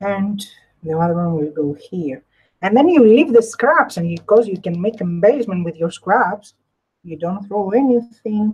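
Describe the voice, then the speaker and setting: The speaker's somewhat breathy voice moves at a moderate pace, with lively intonation and big swings in loudness. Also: woman, medium pitch for a woman. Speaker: crafter, live stream host. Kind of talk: craft tutorial with live chat. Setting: live stream.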